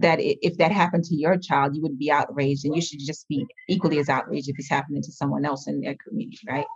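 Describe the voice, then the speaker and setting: A woman speaks very fast in a very deep, low voice that is somewhat breathy, with ordinary pitch variation. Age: 50s. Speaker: education rights activist. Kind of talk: interview.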